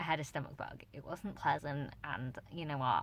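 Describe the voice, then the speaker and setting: A woman with a British accent talks at a fairly quick pace in a very deep, low pitch. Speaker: book vlogger. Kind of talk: casual talk to camera.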